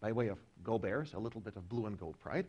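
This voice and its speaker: Vocal fry runs through a man's animated delivery. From Russia. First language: Russian. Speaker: professor. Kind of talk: lecture.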